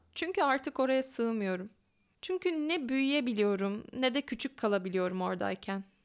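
A woman's high-pitched voice at a moderate pace, with very wide pitch swings and very even loudness, on a very clean recording with a silent background. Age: 20s. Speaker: podcaster and graduate student. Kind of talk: reading aloud her own letter.

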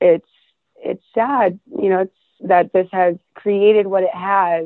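This woman talks at a medium pitch with an American accent. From Minnesota, US. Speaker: adult film performer. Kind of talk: casual chat. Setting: phone call.

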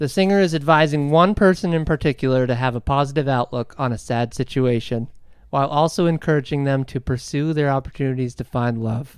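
A man with a normal speaking voice talks at a fairly quick pace, his pitch fairly high with ordinary variation. The recording is very clean, with a silent background. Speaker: podcast host, dad. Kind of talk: casual chat.

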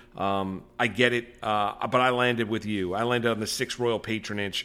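In an American accent, a medium-pitched man speaks with monotone, flat intonation. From New York. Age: 40s. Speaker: horse racing podcast host. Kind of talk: casual betting chat.

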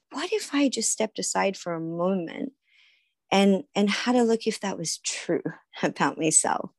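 Over a quiet background, a woman with an Australian accent speaks at a medium pitch and moderate pace with lively intonation, the sound dry and close with no echo. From Australia, Sydney. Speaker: author and yoga healer. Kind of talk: interview conversation.

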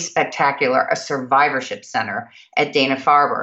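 A woman is talking here. Her pitch is very deep and low. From Kentucky, Louisville. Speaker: nonprofit board chair, finance executive. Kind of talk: interview. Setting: video call.

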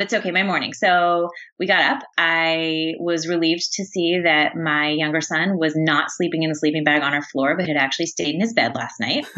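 A woman's fairly low-pitched, ordinary speaking voice, fairly quick and fairly even in intonation, with hardly any pauses. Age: 30s. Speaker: author and former magazine editor. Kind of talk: interview.

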